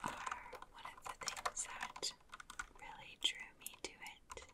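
Whispering at a very slow pace. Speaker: ASMR creator. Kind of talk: ASMR whisper. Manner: whispered. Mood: calm, relaxing.

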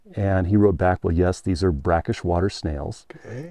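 A man's dark, mellow tone in a dry sound with no echo, against a quiet background. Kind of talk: interview answer. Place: open country. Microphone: lapel.

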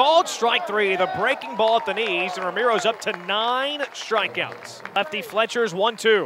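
Raising and projecting his voice over noticeable background noise, a man sounds animated and excited, his high pitch moving with lively intonation. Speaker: baseball play-by-play announcer. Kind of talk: live baseball play-by-play commentary. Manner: rapid-fire, clipped and punchy, building to excited exclamations on big plays; animated, with a rising call on home runs and close plays.

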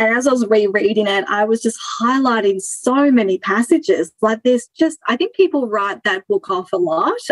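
A woman with an Australian accent talks in a fairly high pitch with lively intonation and hardly any pauses, in a dry, close sound with no echo. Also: moderate pace. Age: 30s. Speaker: former coaching client. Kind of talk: interview. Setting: video call.

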